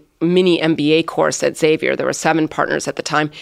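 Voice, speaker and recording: Recorded very cleanly against a silent background, the speech moves at a moderate pace. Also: woman. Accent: Midwestern American. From US Midwest (South Bend, Indiana). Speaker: economic development executive. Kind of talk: interview.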